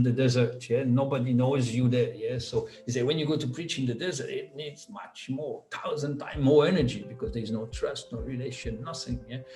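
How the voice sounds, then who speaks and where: A man talking at a fairly quick pace with hardly any pauses, music in the background. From Switzerland (Biel/Bienne). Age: 50s. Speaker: business founder. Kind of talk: interview. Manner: halting, many repetitions and fillers.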